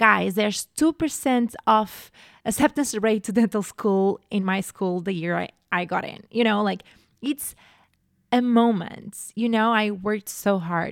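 In a Portuguese accent, a woman talks at a fairly slow pace with medium pitch and ordinary pitch variation, recorded very cleanly against a silent background with a dry, close sound and no echo. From Portugal. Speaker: podcast host. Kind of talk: solo podcast monologue. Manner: animated.

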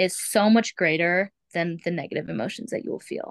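Against a quiet background, a woman with an ordinary speaking voice talks at a medium pitch and moderate pace, the sound dry and close with no echo. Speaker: foster parent. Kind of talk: casual chat.

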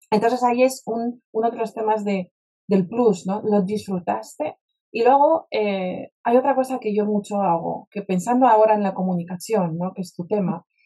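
A woman with a Polish accent, a medium pitch and a dark, mellow tone. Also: ordinary pitch variation, moderate pace. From Poland, Warsaw. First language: Polish (speaking Spanish). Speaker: spiritual mentor and speaker. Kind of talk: interview conversation. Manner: direct.

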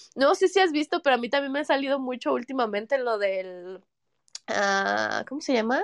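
Very wide pitch swings at a moderate pace, with a dry, close sound, no echo and a quiet background. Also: woman, high pitch for a woman. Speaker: podcast co-host. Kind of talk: casual chat.

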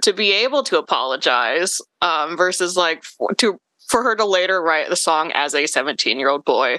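Her voice has a bright, sharp tone with vocal fry, recorded with a dry, close sound and no echo. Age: 20s. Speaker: podcast guest, student. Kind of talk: casual chat.

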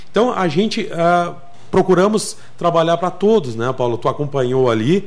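A man speaks with lively intonation at a moderate pace, with audible room echo. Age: 50s. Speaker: municipal agriculture secretary. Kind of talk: radio interview. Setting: radio studio.

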